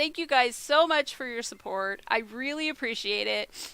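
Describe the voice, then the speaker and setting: A woman speaks at a moderate pace with a bright, sharp tone in a very clean recording with a silent background. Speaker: video blogger. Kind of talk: casual vlog talk to camera. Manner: hesitant, many ums.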